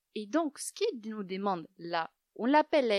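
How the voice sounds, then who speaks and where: Lively in intonation, a woman with a fairly high pitch talks at a fairly slow pace, the sound dry and close with no echo. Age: young. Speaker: yoga teacher. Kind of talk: interview. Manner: soft-spoken.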